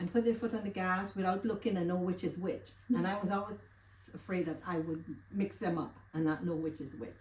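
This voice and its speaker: At a moderate pace, a woman talks in a medium pitch with ordinary pitch variation over noticeable background noise. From Guyana. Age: 70s. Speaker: interviewee. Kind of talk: casual interview, life story.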